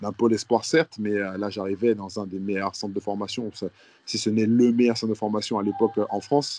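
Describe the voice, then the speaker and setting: A man's fairly low voice carries a dark, mellow tone and fairly even intonation. He speaks at a moderate pace, and the sound is dry and close, with no echo. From Guadeloupe. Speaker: professional basketball player. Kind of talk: interview.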